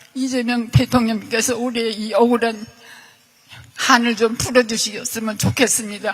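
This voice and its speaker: A woman talks at a fairly slow pace in a flat monotone. Background noise is noticeable. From South Korea, Seoul. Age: 80s+. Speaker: victim of state violence. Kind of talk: testimony.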